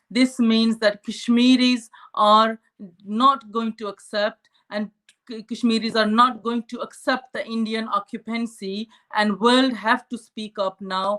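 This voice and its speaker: A woman talks at a fairly slow pace in a fairly high pitch, her intonation monotone and flat. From Pakistani-administered Kashmir. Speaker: Kashmiri activist. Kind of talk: panel discussion speech. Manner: halting, many fillers; impassioned.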